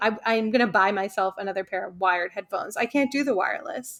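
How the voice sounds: A woman's fairly bright tone with ordinary pitch variation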